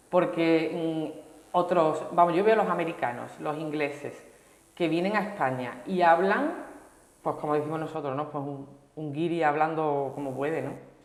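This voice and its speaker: Over noticeable background noise and audible room echo, a woman with a very deep, low pitch talks at a moderate pace with ordinary pitch variation. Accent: slight Sevillian. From Seville, Andalusia, Spain. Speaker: language course participant. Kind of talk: TV interview.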